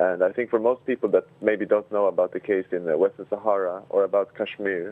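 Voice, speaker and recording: A man with a Swedish accent talks very fast in a fairly low pitch, his intonation monotone and flat. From Sweden. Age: 20s. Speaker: human rights activist. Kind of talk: interview.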